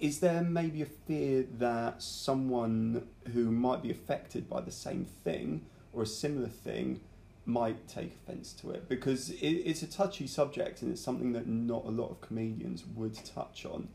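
Speaking with a British accent, a man uses a medium pitch and lively intonation at a moderate pace. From UK. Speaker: podcast host and amateur comedian. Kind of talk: casual interview; podcast intro.

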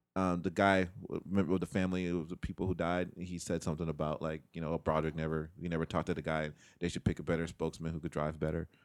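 A very deep-voiced man with an American accent, very fast and flat in monotone, with hardly any pauses, on a very clean recording with a silent background. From Chicago projects, later San Diego. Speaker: podcast co-host. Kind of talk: casual chat.

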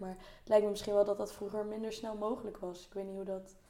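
With noticeable background noise and audible room echo, a woman talks at a fairly high pitch in a monotone, flat delivery. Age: 20s. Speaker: university student. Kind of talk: casual chat.

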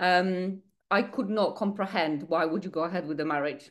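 A woman with a Polish accent speaks at a medium pitch and a moderate pace. Her pitch variation is ordinary, and the background is quiet. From Poland. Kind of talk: podcast interview, personal story.

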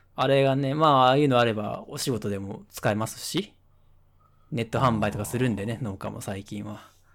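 A man with a plain, everyday voice speaks at a moderate pace in a medium pitch with ordinary pitch variation, on a very clean recording with a silent background. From Nagasaki, Japan. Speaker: podcast co-host. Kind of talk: casual chat. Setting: webcam call.

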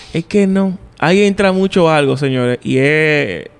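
This voice belongs to a man. His delivery is fairly slow. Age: 30s. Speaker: podcast host. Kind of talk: casual chat.

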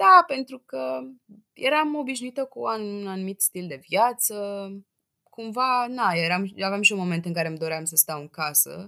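A woman with a bright, sharp tone at a moderate pace, with very wide pitch swings and big swings in loudness. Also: medium pitch for a woman. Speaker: podcast guest. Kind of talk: casual chat.

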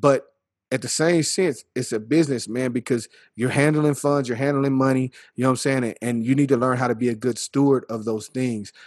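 With a medium pitch, a man delivers his words at a fairly quick pace. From Texas Panhandle (Earth, Texas). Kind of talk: casual chat. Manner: animated.

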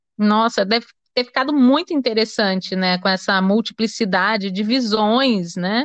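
A woman speaks in a plain, everyday voice at a fairly high pitch and moderate pace, with ordinary pitch variation. Her loudness stays very even over a quiet background. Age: 40s. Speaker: radio host. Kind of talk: radio interview.

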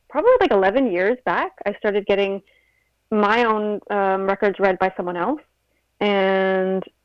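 A woman speaks with an American accent and ordinary pitch variation. She has a plain, everyday voice. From New York and Uruguay. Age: 30s. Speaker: spiritual reader. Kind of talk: casual interview.

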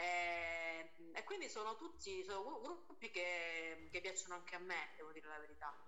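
Over noticeable background noise, a woman with a fairly low pitch talks at a moderate pace with ordinary pitch variation. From Calabria, Italy. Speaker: singer. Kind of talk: casual interview chat.

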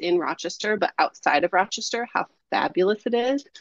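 A woman talks at a fairly quick pace in a normal speaking voice. The sound is dry and close, with no echo. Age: 30s. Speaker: artist and creative mentor. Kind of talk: casual interview chat.

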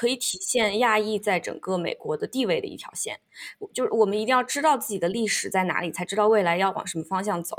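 Very fast woman's voice, fairly high in pitch, with ordinary pitch variation. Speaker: podcast host. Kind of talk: casual chat.

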